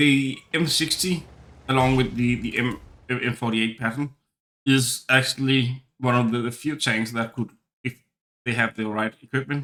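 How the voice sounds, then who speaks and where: With fairly even intonation and a Danish accent, a man talks fairly slowly at a medium pitch. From Denmark. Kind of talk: gameplay commentary. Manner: stuttering, hesitant.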